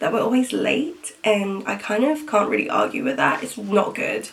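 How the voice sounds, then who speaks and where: A woman with a British accent and a fairly high pitch, over noticeable background noise. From Philippines, Metro Manila until 8, then England. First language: Tagalog. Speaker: vlogger. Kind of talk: casual chat. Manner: casual, many fillers (um, like).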